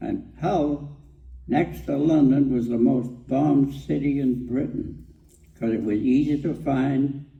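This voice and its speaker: Audible room echo colors this recording. The man speaking has a Canadian Prairies accent. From Saskatchewan, Canada. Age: 80s+. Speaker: war veteran. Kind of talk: storytelling. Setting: stage with audience.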